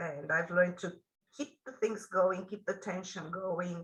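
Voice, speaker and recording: This woman speaks at a fairly slow pace, her medium-pitched voice bright and sharp in tone. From Romania, Bucharest. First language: Romanian. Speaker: author. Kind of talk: interview. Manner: halting.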